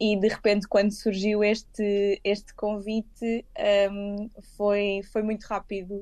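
A woman's medium-pitched, dark, mellow voice, very slow and monotone with flat intonation. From Lisbon, Portugal. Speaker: lawyer. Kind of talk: interview. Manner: hesitant, with fillers and repetitions.

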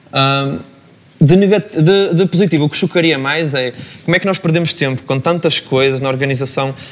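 A man's fairly high pitch, a plain, everyday voice, ordinary pitch variation. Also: moderate pace. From northern Portugal, Braga. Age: 20s. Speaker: master's student. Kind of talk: panel discussion.

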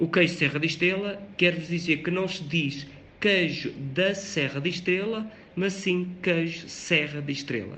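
The intonation stays fairly even. Room echo is audible. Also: man, high pitch for a man, fairly slow pace. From Portugal, Beira Interior (Covilhã). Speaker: radio presenter. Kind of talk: informal radio talk. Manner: hesitant, with fillers.

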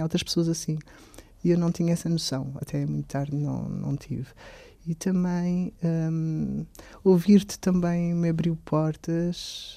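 With fairly even intonation, a man speaks at a fairly slow pace in a high pitch. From Portugal, Alentejo. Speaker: psychology student and artist. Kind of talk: interview.

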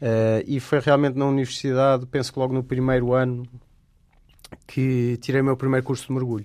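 In a European Portuguese accent, the speaker talks at a fairly quick pace with monotone, flat intonation. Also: man, medium pitch for a man. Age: 30s. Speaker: wildlife photographer. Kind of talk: radio interview. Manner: hesitant, many fillers.

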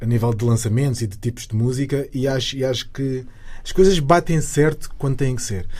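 Talking at a fairly quick pace, a man uses a medium pitch with ordinary pitch variation and a dark, mellow, somewhat breathy tone. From Lisbon, Portugal (Cova da Moura). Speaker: singer. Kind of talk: interview.

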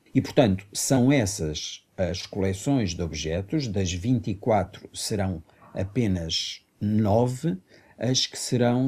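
The recording is very clean with a silent background. A man speaks in a fairly low, dark, mellow voice with ordinary pitch variation. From Mozambique, then Portugal from age 15. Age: 50s. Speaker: artistic director and performer. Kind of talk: radio interview.

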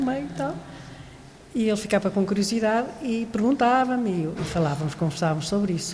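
Against noticeable background noise and audible room echo, a woman at medium pitch speaks at a moderate pace with ordinary pitch variation. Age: old. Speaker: literature professor. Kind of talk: panel discussion.

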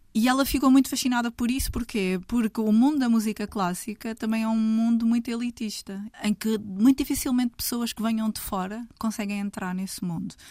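A somewhat breathy woman at a fairly quick pace with hardly any pauses, on a very clean recording with a silent background. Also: fairly high pitch for a woman. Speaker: writer. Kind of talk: casual chat.

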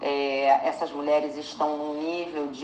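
A woman speaks fairly slowly at a very deep, low pitch with monotone, flat intonation. Her voice carries audible room echo over noticeable background noise. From Brazil. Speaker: actress and screenwriter. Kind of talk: interview.

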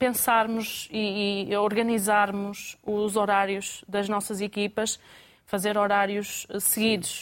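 Very slowly, a woman speaks in a medium pitch. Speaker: restaurant owner. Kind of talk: studio panel discussion. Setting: studio.

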